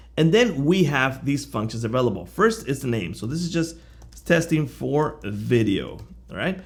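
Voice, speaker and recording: A man with vocal fry speaks at a moderate pace and a fairly high pitch, with very wide pitch swings. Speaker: software reviewer. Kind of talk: tutorial.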